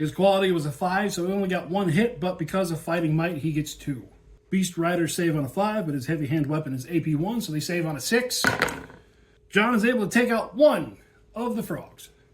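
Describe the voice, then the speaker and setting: Against noticeable background noise, a man with an American accent talks at a fairly quick pace in a high pitch with lively intonation. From US South. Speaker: tabletop gaming youtuber. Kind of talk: tabletop game playthrough narration. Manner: casual, self-correcting.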